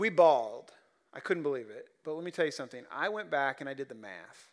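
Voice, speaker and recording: Recorded very cleanly against a silent background, a man with a Midwestern American accent talks at a fairly quick pace. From Ohio (Columbus, rural). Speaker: pastor. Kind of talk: sermon. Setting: church.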